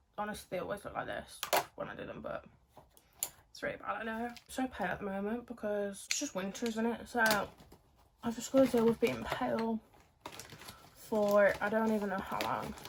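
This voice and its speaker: Against noticeable background noise, a woman speaks with a fairly high pitch and fairly even intonation. She takes long, frequent pauses. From southern England (Kent), later Birmingham. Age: 20s. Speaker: lifestyle and acting content creator. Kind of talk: casual get-ready-with-me chat. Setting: at home doing makeup, no music. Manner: chatty, filler-heavy.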